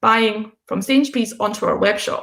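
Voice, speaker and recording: A woman with a Scottish accent, a fairly high pitch and ordinary pitch variation, at a moderate pace, with audible room echo. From Scotland, Fife. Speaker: coffee roastery founder. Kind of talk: conference talk.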